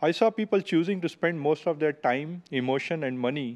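A man with an Indian accent at a moderate pace, with ordinary pitch variation. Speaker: software engineer; speaker. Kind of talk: storytelling. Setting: stage with audience. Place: hall. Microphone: podium.

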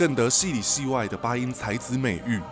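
Music in the background behind a man's medium-pitched voice at a moderate pace. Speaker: YouTuber and podcaster. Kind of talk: documentary-style tribute narration. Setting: home studio, dynamic microphone.

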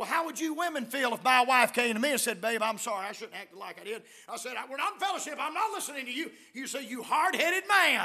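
In a South Carolina accent, a man with an extremely high, raised and projected voice talks very fast, with very wide pitch swings and big shifts in loudness against a quiet background. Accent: Southern US, South Carolina. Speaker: visiting preacher. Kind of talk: sermon. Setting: church. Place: church. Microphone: podium.

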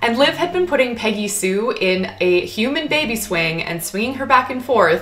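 The speech moves at a moderate pace with hardly any pauses. Its pitch swings very widely. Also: woman. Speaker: pet vlogger. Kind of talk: casual vlog chat. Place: home room. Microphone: camera far.

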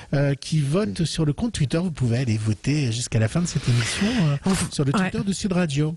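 Fairly quick male speech with lively intonation, dry sound with no echo, and noticeable background noise. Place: home room. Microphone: handheld.

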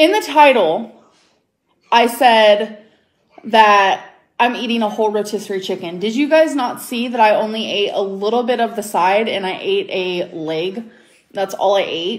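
Speaking at a fairly slow pace, a woman with an American accent uses lively intonation. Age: 20s. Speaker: YouTuber. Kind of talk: casual chat. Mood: defensive, irritated. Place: home room. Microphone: phone near.

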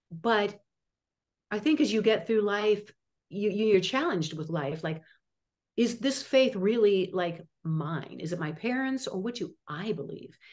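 A woman with an American accent speaks at a medium pitch and a fairly slow pace, with lively intonation. She leaves long, frequent pauses, and the background is quiet. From US Midwest, Chicago suburbs; Illinois. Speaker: actress and acting teacher; actress, acting coach. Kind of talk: interview. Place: home room. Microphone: video call.

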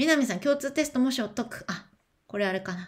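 A woman speaks at a moderate pace, her voice somewhat breathy. Her pitch swings very widely against a quiet background. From Japan. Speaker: education speaker and streamer; speaker, streamer. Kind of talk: livestream chat, reading and answering comments. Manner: casual, chatty. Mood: warm, encouraging, chatty. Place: home room. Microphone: webcam.

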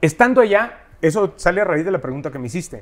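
Lively intonation marks a man's fairly quick speech. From Mexico, Huasteca region; Mexico. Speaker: singer; guest. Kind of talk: casual interview chat. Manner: animated. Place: studio.

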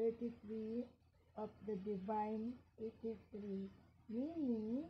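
A woman's fairly even intonation comes through light background noise. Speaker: school teacher. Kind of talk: casual vlog chat, unboxing show-and-tell. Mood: cheerful, laughing. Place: home room. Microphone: phone near.

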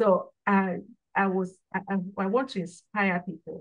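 Somewhat breathy speech over a quiet background. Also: woman. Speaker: guest. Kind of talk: interview answer. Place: home room. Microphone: video call.

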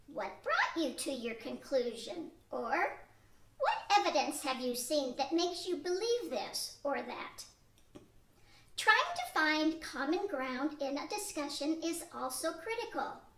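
The voice moves at a fairly slow pace, its pitch swinging very widely. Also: woman, high pitch for a woman. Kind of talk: 1940s radio acting. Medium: audio drama. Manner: earnest, instructive.

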